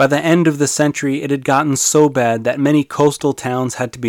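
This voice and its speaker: Over a silent background in a very clean recording, a man with a normal speaking voice talks fairly quickly at a medium pitch. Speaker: history podcaster and author. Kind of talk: scripted narration.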